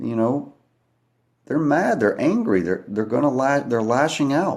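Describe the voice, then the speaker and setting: A man speaks quietly with ordinary pitch variation on a very clean recording with a silent background. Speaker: livestreamer talking to viewers. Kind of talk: live stream monologue. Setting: at home at night, kids asleep. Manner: quiet, hushed.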